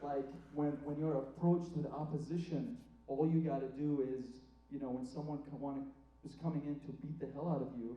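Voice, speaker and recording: A man speaks at a fairly quick pace with fairly even intonation and a somewhat breathy, fairly high voice for a man. Room echo is audible. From Iraq. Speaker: student stand-up comedian. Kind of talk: stand-up. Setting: theatre stage with audience.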